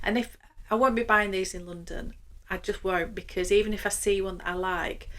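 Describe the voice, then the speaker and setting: A woman with a Yorkshire accent talks at a fairly quick pace and medium pitch, her intonation fairly even. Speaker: luxury fashion vlogger. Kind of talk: casual vlog monologue.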